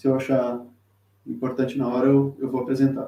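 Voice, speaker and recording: A man's fairly high voice with a dark, mellow tone at a moderate pace. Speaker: tarot teacher and reader. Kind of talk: live-streamed tutorial. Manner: halting, many fillers and repetitions.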